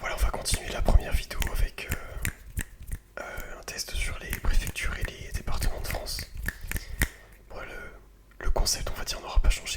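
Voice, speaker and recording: The voice is a whisper. Noticeable background noise is audible behind it. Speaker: ASMR content creator. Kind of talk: ASMR quiz, geography questions to the viewer. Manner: whispered, soft-spoken.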